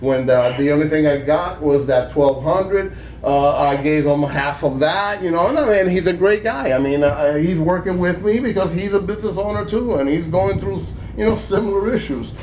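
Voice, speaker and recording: Amid noticeable background noise and audible room echo, a man talks at a moderate pace with fairly high pitch and lively intonation. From Cuba. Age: 60s. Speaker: small business owner. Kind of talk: call-in interview. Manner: halting, many repetitions; talkative.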